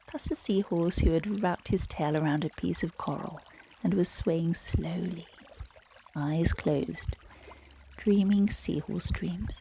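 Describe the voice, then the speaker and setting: Over noticeable background noise, the voice moves at a fairly slow pace in a gentle, soothing tone, with long, frequent pauses. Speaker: yoga nidra guide, meditation narrator. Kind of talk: bedtime story narration. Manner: slow, gentle, soothing, calm.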